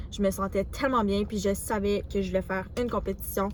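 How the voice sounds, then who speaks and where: A woman speaks with a Quebec accent. Her intonation is fairly even. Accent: Québécois French. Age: 20s. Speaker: vlogger, student bodybuilder. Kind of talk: casual vlog talk to camera. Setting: gym. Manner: hesitant, filler words.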